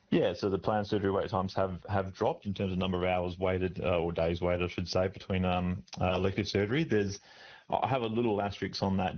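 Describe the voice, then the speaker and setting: A man's very deep, low voice at a very fast pace, with very even loudness and fairly even intonation. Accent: Australian. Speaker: doctor, medical association president. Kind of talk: radio interview answer.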